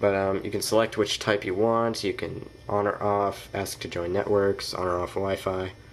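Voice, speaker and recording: Here a man talks with a fairly low pitch. His intonation is monotone and flat. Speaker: tech reviewer. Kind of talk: tutorial. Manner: hesitant, many fillers.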